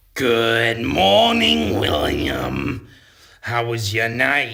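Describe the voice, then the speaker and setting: Using a put-on character voice, a man speaks raspily at a very slow pace and medium pitch, with audible echo in the room. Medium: comedy sketch. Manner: sweet, sugary, unflappable.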